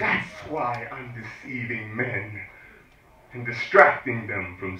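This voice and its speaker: A medium-pitched man talks at a very slow pace, his loudness swinging widely. Background noise is noticeable. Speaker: spoken word poet. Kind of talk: spoken word poetry performance. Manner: forceful, emphatic.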